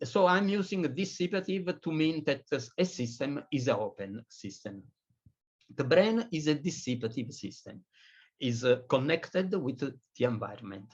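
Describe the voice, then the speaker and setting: A man's fairly high, somewhat breathy voice at a moderate pace with very wide pitch swings and a quiet background. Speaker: physicist lecturer. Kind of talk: lecture. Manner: halting, many fillers.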